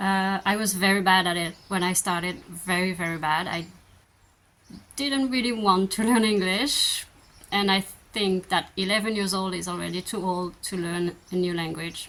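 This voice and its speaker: Her intonation fairly even, a woman speaks at a moderate pace and a medium pitch. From France. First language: French. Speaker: vlogger. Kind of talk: Q&A answers. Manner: hesitant, many fillers.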